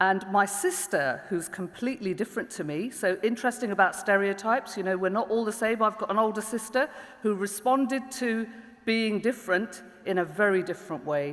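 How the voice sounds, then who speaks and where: Pitched in the medium range, a woman with a London accent talks at a fairly quick pace with ordinary pitch variation. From East London, England. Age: 40s. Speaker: public prosecutor and diversity lead. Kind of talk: panel talk.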